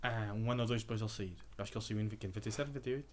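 The man's voice sits at a medium pitch. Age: 30s. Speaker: podcast co-host. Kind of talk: casual chat.

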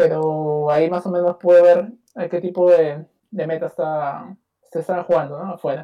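A high-pitched man with a Peruvian accent and fairly even intonation. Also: moderate pace. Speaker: card game player. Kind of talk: interview.

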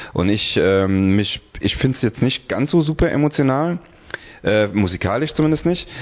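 A medium-pitched male voice at a moderate pace, very even in loudness, with very wide pitch swings. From Hungary. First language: Hungarian (speaking German). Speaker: singer and tattoo studio owner. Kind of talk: casual chat. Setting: tattoo studio.

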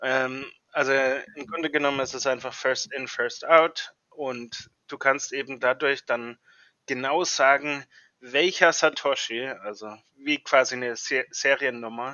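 A man speaks at a very slow pace and a medium pitch. His intonation stays fairly even while his loudness swings widely. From Germany. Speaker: software engineer. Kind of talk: interview. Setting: remote call. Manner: hesitant, many fillers.

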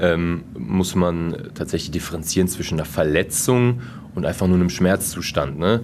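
The man's voice is very deep and low, with ordinary pitch variation at a moderate pace. Audible room echo and noticeable background noise fill the recording. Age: 20s. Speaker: team physiotherapist. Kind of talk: interview. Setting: sports hall after training.

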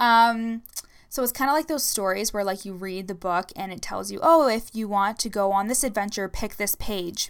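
With a plain, everyday voice, a woman talks at a moderate pace in a medium pitch, her pitch varying in an ordinary way. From Ontario, Canada. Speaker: leadership coach podcaster. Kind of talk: casual solo podcast monologue. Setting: home recording. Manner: casual, sassy, uses fillers.

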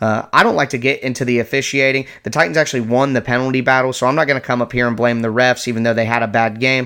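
A man's bright, sharp, medium-pitched voice at a very fast pace, with fairly even intonation. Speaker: sports podcast host. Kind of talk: angry fan rant about the team's coaching decisions, vented in a raw, exasperated tone. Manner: exasperated, repeating himself in disbelief, rising intensity, rapid-fire complaints.

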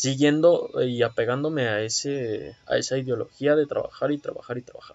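With a Mexican accent, a man talks at a moderate pace with hardly any pauses and big swings in loudness. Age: 20s. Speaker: podcast host, computer science student. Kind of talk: casual monologue.

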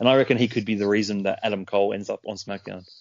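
A man with a fairly low pitch speaks at a very fast pace in a monotone, flat intonation. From Australia. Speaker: podcast co-host. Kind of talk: casual chat.

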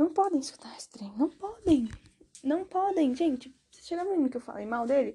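A woman's dark, mellow tone with lively intonation. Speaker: podcaster. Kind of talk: casual monologue.

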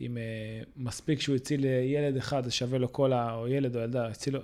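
At a fairly quick pace, a man speaks with a dark, mellow tone, medium pitch and fairly even intonation in a very clean recording with a silent background. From Israel, Ra'anana. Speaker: podcast host, company CEO. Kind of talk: interview. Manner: hesitant, many fillers.

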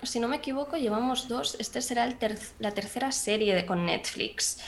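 Over noticeable background noise, the speaker uses lively intonation at a moderate pace. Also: woman. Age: 20s. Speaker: 3D artist and CGI supervisor. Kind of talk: casual interview chat.

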